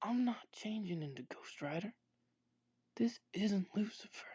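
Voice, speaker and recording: Someone in a put-on character voice talks at a moderate pace with a fairly high pitch. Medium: audio drama.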